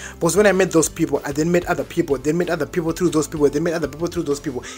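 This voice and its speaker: A man with a strong Zimbabwean accent talks very fast in a fairly high pitch with fairly even intonation. Music plays in the background. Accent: thick Zimbabwean. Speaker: vlogger, university student. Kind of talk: storytime vlog. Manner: casual, slangy.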